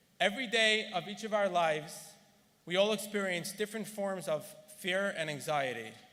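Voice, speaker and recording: With audible room echo, a man with a high pitch speaks at a moderate pace and ordinary pitch variation. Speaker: gala honoree. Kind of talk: speech. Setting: stage with audience. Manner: formal.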